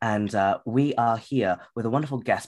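A man talks with a British accent. His pitch is fairly low and his pace moderate. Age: 20s. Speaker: podcast host. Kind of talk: interview.

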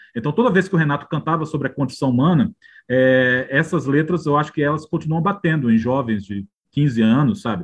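This man speaks with a fairly high pitch, lively intonation and a somewhat breathy quality. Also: fairly quick pace. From Northeast Brazil, João Pessoa (Paraíba). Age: 50s. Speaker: biographer and journalist. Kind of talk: interview conversation.

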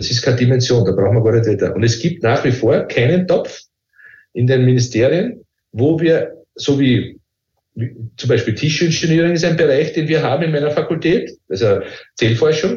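A man's somewhat breathy voice at a moderate pace, with lively intonation. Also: fairly high pitch for a man. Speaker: professor. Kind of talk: interview.

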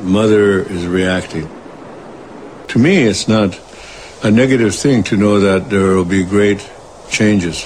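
A man speaks at a fairly slow pace and a fairly low pitch, in a solemn tone. Long, frequent pauses break his speech over noticeable background noise. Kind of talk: elder storytelling, spiritual teaching. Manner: solemn, reverent, repetitive cadence.

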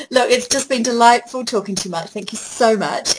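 A woman speaks at a very fast pace with a New Zealand accent. Noticeable background noise is present. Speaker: podcast host. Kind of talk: interview.

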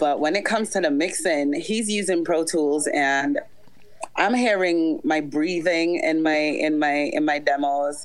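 A woman speaks at a fairly slow pace with a fairly low pitch and ordinary pitch variation. There is noticeable background noise. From Jamaica. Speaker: aspiring reggae artist. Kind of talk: live Q&A call.

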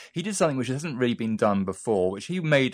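Captured in a very clean recording with a silent background, the voice uses very wide pitch swings in a British accent. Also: man. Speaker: arts journalist. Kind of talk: news interview.

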